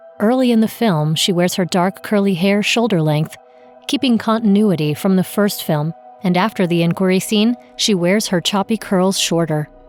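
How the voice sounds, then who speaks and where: Over music in the background, a woman speaks at a moderate pace with very even loudness. Her voice sits at a medium pitch with ordinary pitch variation. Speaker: audio describer. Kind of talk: audio description narration.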